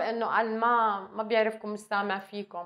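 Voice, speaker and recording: Someone speaks with a Levantine accent against a quiet background. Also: woman. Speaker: TV interviewer. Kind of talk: interview. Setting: studio. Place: studio.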